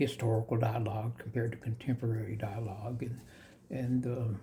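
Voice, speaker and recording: Medium-pitched and somewhat breathy, a man with an American accent has a dark, mellow tone. His intonation is monotone and flat, at a moderate pace. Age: 70s. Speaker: yoga teacher. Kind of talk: spiritual discourse monologue. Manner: halting, many fillers.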